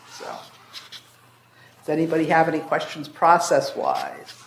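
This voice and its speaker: Audible room echo surrounds a man as he speaks. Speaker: zoning commission member leading meeting. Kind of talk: public meeting discussion. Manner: fast.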